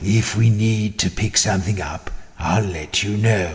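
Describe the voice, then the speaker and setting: Using a put-on character voice, a man speaks raspy and fairly slow at a fairly low pitch. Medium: video game. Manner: dry, wry.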